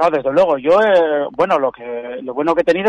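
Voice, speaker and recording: A man talks at a fairly quick pace in an unremarkable speaking voice, with ordinary pitch variation. The sound is dry and close, without echo. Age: 50s. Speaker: weightlifter and coach. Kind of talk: radio interview.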